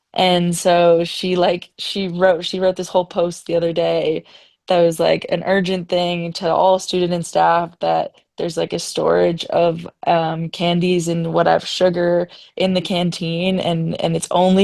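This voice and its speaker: A woman's fairly low voice, fairly slow and monotone with flat intonation. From Ontario, Canada. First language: French. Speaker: ski instructor. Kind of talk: webinar panel discussion. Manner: casual, filler-heavy.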